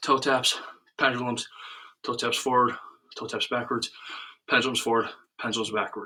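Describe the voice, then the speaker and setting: A man speaks at a medium pitch with a bright, sharp tone. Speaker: youth soccer coach. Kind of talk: live workout instruction. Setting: Facebook live stream, indoors with space heater. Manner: fast.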